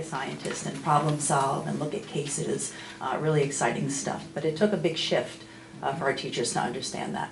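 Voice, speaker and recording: A woman talks at a moderate pace. Noticeable background noise and audible room echo fill the recording. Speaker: school district curriculum administrator. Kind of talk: committee report at board meeting. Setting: public board meeting room. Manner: loud.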